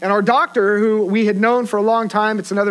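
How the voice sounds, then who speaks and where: Speaking fairly quickly, a man uses a high pitch. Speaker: preacher. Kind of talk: sermon. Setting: church. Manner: informal, conversational.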